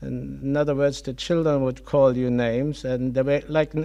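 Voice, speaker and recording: A man speaks with a German accent at a moderate pace. His tone is dark and mellow, and his intonation fairly even. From Germany, Kassel (Hesse). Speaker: Holocaust survivor. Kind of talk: testimony interview. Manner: halting.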